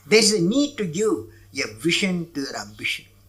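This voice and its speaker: A man's bright, sharp voice in a Tamil accent, with very wide pitch swings at a moderate pace. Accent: Indian (Tamil) English. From Tamil Nadu, India. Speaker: former head of state, scientist. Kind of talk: speech to an audience.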